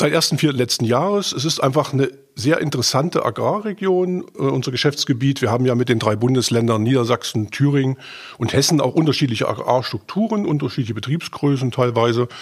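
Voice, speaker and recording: Somewhat breathy, a man speaks at a fairly quick pace with lively intonation and very even loudness. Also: medium pitch for a man. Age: 50s. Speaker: agricultural bank adviser. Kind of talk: casual interview.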